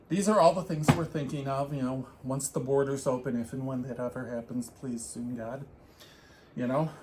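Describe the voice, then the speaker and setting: A somewhat breathy man at medium pitch, with ordinary pitch variation and a moderate pace. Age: 60s. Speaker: knitting podcast co-host. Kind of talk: casual chat.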